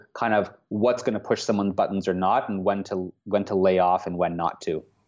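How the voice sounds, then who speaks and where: Someone speaks at a moderate pace with a Canadian accent. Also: man. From Canada, Toronto. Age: 30s. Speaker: tech startup co-founder. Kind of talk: interview. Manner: hesitant, many fillers.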